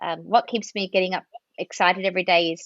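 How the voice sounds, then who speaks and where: A woman speaks with an Australian accent at medium pitch. Her intonation is monotone and flat. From Australia, near Melbourne. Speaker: marketing and communications executive. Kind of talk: podcast interview.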